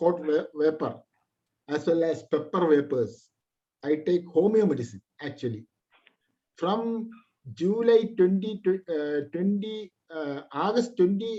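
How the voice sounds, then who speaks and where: A high-pitched man talks fairly slowly with lively intonation and long, frequent pauses. Music plays in the background. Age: 60s. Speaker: ethnobotanist. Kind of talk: webinar Q&A answer. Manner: halting.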